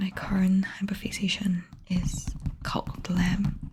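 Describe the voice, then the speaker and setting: A soft-spoken voice at a fairly slow pace. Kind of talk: asmr talk to camera.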